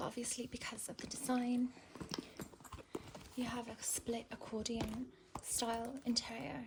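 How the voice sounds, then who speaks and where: Noticeable background noise surrounds a woman whose voice sits high in pitch. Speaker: ASMR content creator. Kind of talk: ASMR handbag review, talking to the viewer. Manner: soft-spoken, slow.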